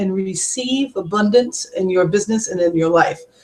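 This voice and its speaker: Somewhat breathy and fairly quick, a woman speaks with lively intonation. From US Northeast (Montauk, New York). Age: 40s. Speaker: network marketing coach. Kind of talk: webinar talk. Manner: casual, with many fillers.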